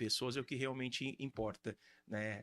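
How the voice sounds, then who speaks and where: An unremarkable speaking voice moves at a moderate pace with fairly even intonation, the sound dry and close with no echo. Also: man. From Brazil, Santos coast of São Paulo. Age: 30s. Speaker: real estate agent and pastor. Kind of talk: podcast interview.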